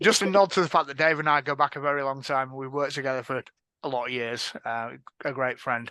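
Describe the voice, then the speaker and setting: A man with an Edinburgh accent talks very fast at a fairly high pitch, his tone bright and sharp with ordinary pitch variation, in a dry, close sound with no echo and a quiet background. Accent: Scottish (Edinburgh). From Scotland, Edinburgh. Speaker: panel moderator, information security director. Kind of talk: panel discussion moderation. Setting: stage with audience at a conference.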